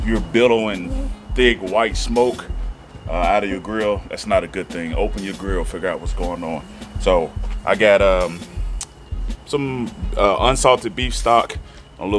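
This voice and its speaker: Clear music sits in the background as a man speaks. He keeps a moderate pace with long, frequent pauses. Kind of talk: tutorial. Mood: relaxed, upbeat. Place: street.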